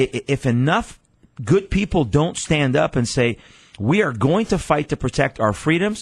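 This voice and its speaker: A man's animated, fairly high voice at a moderate pace, with very wide pitch swings and a quiet background. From Iran. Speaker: pastor. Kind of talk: radio interview. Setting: studio.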